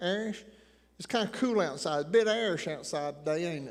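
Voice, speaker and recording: With a slight Appalachian accent, a man talks at a fairly quick pace with ordinary pitch variation. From Appalachian Tennessee. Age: 60s. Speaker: preacher. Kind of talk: sermon.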